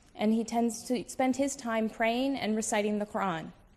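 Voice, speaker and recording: Speaking with a Midwestern accent, a woman uses a fairly high pitch with ordinary pitch variation at a moderate pace. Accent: American Midwest. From US Midwest, Toledo, Ohio. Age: young. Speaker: debater. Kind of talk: formal debate opening statement. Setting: stage with audience.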